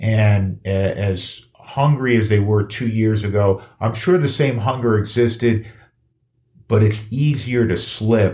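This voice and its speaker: This man's voice has a dark, mellow tone, a fairly low pitch, ordinary pitch variation and a somewhat breathy quality. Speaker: podcast host. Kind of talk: casual sports talk podcast.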